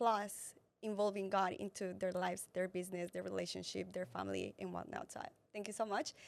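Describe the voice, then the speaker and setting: A woman with a Colombian accent talks at a fairly quick pace. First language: Spanish. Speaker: entrepreneur and fitness influencer. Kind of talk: interview testimony. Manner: halting, with false starts.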